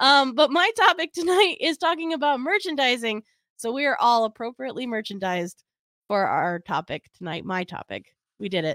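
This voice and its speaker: A woman with a high voice speaks at a fairly quick pace with very wide pitch swings, recorded very cleanly against a silent background with a dry, close sound and no echo. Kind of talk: casual chat. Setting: live stream.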